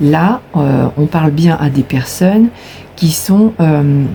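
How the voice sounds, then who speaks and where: A woman's very slow speech over noticeable background noise. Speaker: tarot card reader. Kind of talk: tarot reading. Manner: hesitant, many fillers.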